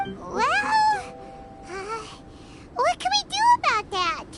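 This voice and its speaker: Someone uses a put-on character voice at an extremely high pitch, speaking at a very slow pace. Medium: video game. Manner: excitable.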